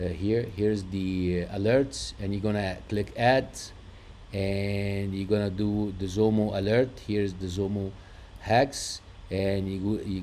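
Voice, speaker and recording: A man with an Arabic accent speaks fairly slowly in a fairly low, dark, mellow voice. His intonation is monotone and flat. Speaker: trading indicator developer. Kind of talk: screen-share tutorial. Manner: hesitant, many fillers.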